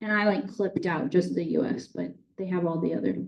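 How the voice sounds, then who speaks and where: This woman talks at a fairly quick pace with a slight Boston accent. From Boston area, US Northeast. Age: 30s. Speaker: water utility manager. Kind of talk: public talk with slides. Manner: casual, conversational.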